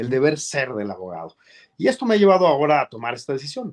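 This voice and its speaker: A man talks against a quiet background. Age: 40s. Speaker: journalist and lawyer, political hopeful; journalist, lawyer. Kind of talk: interview. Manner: formal. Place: office. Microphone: webcam.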